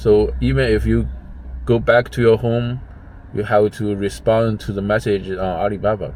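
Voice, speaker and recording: Very wide pitch swings from a male speaker, noticeable background noise underneath. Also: fairly low pitch for a man, moderate pace. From China. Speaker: gig driver and vlogger. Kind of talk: casual vlog monologue. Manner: halting, many restarts and fillers.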